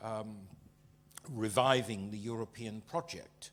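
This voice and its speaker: This man, with a British accent, speaks in monotone, flat intonation. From Britain. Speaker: panelist. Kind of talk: panel discussion. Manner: halting, many fillers.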